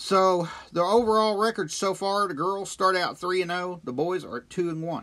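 With an American accent, a man speaks at a high pitch, a moderate pace and ordinary pitch variation. It is a very clean recording with a silent background. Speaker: local sports podcast host. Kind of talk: sports news roundup. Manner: casual, hesitant with many uhs.

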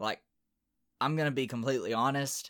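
Recorded very cleanly against a silent background, a man with an American accent talks at a moderate pace and medium pitch. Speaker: college sports podcast host. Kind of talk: solo sports podcast commentary. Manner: animated.

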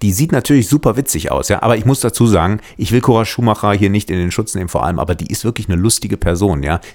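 With hardly any pauses, a man talks at a very fast pace, his fairly low pitch carried by lively intonation. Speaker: podcast host, former reality TV contestant. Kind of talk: casual chat.

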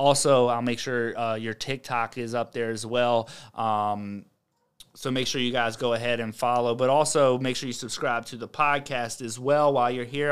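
On a very clean recording with a silent background, a man with an American accent and a plain, everyday voice speaks at a moderate pace, medium in pitch, with fairly even intonation. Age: 30s. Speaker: podcast host. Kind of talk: casual chat. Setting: studio.

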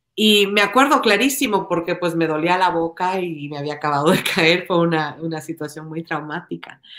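A woman with an ordinary speaking voice speaks at a fairly low pitch and a moderate pace, with ordinary pitch variation and hardly any pauses. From Ecuador. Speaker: political candidate. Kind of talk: podcast interview.

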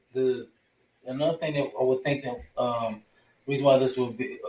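Here is a man with an American accent. His voice is somewhat breathy. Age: 40s. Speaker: host's fiance, film discussion guest. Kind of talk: casual chat.

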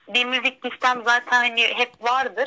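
A woman's high-pitched voice. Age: 20s. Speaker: university student. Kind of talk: casual chat.

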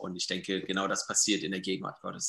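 A man with a fairly low pitch and a bright, sharp tone speaks against a quiet background. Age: 30s. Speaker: church member and author. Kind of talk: casual interview.

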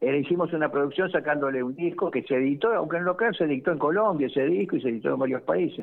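A man speaks at a very fast pace and fairly high pitch. His pitch variation is ordinary and his loudness very even. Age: 70s. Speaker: musician, band leader. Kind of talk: interview.

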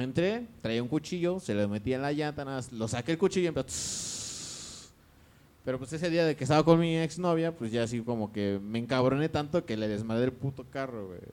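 A man talks at medium pitch with an unremarkable speaking voice. His pace is moderate and his intonation lively. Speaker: podcast co-host. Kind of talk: casual chat.

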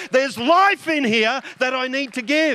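At a fairly slow pace, a man speaks in an animated tone. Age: 50s. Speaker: pastor. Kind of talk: sermon.

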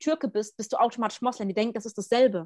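A woman's fairly high voice, a normal speaking voice, with ordinary pitch variation and a dry, close sound with no echo. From Germany. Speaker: podcast co-host. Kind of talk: casual chat.

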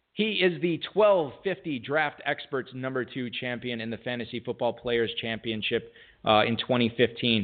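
A man with an unremarkable speaking voice uses lively intonation at a medium pitch. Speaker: fantasy football radio show host. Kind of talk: casual chat and interview. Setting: live radio broadcast studio.

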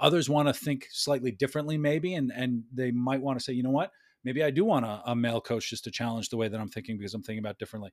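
Words come at a very fast pace with ordinary pitch variation. The recording is very clean, with a silent background. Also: man, medium pitch for a man. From Bronx, New York. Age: 40s. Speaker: executive coach and business consultant. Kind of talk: casual interview chat.

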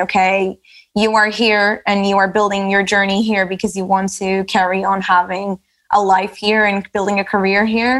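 A woman at medium pitch, moderate pace, in monotone, flat intonation. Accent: Portuguese. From Portugal, Lisbon. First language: Portuguese. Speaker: category manager. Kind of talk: casual chat. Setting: video call.

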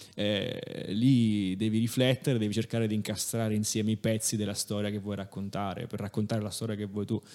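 A man speaks at a fairly quick pace in a flat, monotone intonation with hardly any pauses. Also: fairly low pitch for a man. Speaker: engineer. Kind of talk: casual chat.

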